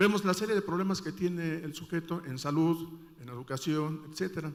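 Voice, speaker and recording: At a moderate pace, a man with a high pitch talks with ordinary pitch variation. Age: 60s. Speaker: audience member asking a question. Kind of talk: audience question at a conference panel. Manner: halting, many fillers.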